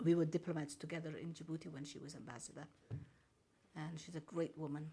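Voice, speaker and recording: At a very fast pace, a woman speaks in a very deep, low pitch, her somewhat breathy voice dark and mellow in tone, with fairly even intonation. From Somaliland. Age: 80s+. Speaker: diplomat. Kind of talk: press briefing. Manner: formal.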